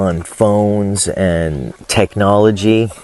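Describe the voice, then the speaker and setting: A man speaks at a fairly low pitch with ordinary pitch variation. The sound is dry and close with no echo, but noticeable background noise comes through. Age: 60s. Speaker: vlogger and small farmer. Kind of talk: casual monologue vlog. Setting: outdoors by a fish pond on a farm.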